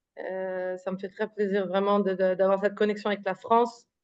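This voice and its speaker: A woman speaks at a medium pitch and a moderate pace. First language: not French; thinks in Hebrew or English (speaking French). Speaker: author. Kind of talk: interview. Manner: halting, many fillers and repetitions.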